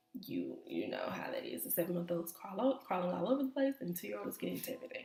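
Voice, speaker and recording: A woman speaks over noticeable background noise. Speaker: vlogger and foster mom. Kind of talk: casual vlog talk. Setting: home office. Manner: hesitant, many fillers.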